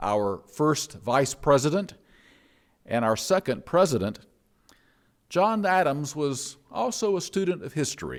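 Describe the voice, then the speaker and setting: On a very clean recording with a silent background, a man speaks with a Southern US accent at a fairly high pitch. His pitch swings very widely, broken by long, frequent pauses. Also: fairly slow pace. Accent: Southern American. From North Carolina, USA. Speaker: minister and psychologist. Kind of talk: church sermon.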